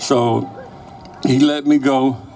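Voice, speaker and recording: A man talks at a fairly high pitch. There is noticeable background noise. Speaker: former Chicano activist. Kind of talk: interview answer, personal recollection.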